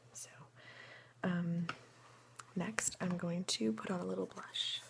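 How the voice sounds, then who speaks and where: A woman speaks softly in a relaxed tone. Her voice carries vocal fry. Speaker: ASMR creator. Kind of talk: ASMR soft-spoken get-ready-with-me talk to camera. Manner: soft-spoken, relaxed, friendly.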